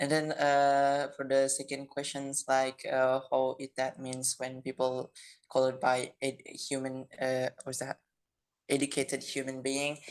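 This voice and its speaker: Fairly slow speech with a non-native accent. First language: non-native English speaker. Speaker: discussion participant. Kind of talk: group discussion. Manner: halting.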